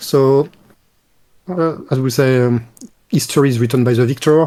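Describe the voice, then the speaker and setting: This man has a French accent and a medium pitch. He moves at a fairly quick pace with fairly even intonation. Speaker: retired game developer. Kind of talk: interview.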